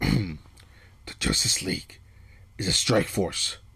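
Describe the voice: A man puts on a gruff character voice at a fairly low pitch. He speaks at a very slow pace.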